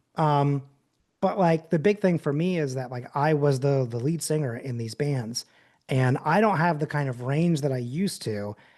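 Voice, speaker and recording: In a quiet setting, a man speaks with typical pitch movement. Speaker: podcast guest, former band singer. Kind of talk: casual chat. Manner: many fillers and hesitations.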